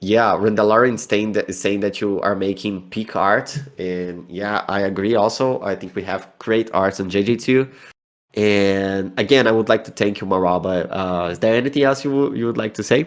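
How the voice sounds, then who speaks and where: A man with a Brazilian accent talks at a moderate pace with ordinary pitch variation. The background is quiet. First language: Portuguese. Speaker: community manager. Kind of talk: online community Q&A. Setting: voice chat on a community server.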